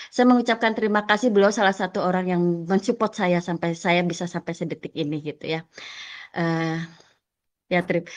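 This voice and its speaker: Against a quiet background, a woman with a fairly low pitch speaks at a fairly quick pace with ordinary pitch variation. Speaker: teacher. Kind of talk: presentation in online training session.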